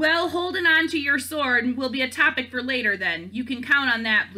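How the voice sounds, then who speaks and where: Loud and bellowing, a woman performs a put-on character voice at a high pitch. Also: moderate pace. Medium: read story. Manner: loud, roaring, hearty.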